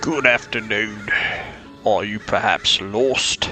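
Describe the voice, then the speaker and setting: A put-on character voice from a man, medium in pitch and very slow, over clear background music. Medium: audio drama. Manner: formal, dry.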